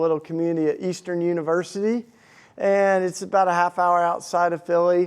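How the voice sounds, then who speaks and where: Against a quiet background, a man speaks with a Southern accent. His pitch is high, with fairly even intonation. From US South, Tennessee. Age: 40s. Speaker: activist and speaker. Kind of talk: talk to a live audience. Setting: stage with audience. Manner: casual, halting with many restarts.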